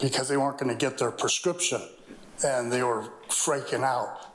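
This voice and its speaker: The recording carries noticeable background noise and audible room echo. A man speaks at a fairly high pitch. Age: 60s. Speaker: public commenter, contractor. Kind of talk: public comment. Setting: city council meeting.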